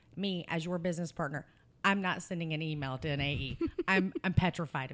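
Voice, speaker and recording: A woman with a slight Southern US accent speaks at a fairly low pitch with ordinary pitch variation. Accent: slight Southern US drawl. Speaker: podcast host. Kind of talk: casual interview chat.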